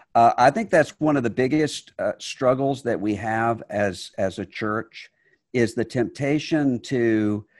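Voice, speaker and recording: Recorded very cleanly against a silent background, a man with an unremarkable speaking voice talks fairly slowly at medium pitch with ordinary pitch variation, the sound dry and close with no echo. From US Gulf Coast Mississippi. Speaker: religious leader and author. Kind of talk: interview conversation.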